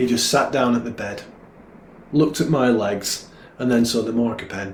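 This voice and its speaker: With a northern English accent, a man talks at a moderate pace over noticeable background noise and audible room echo. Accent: northern English, gruff. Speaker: poet. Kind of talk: poetry reading. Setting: online livestream.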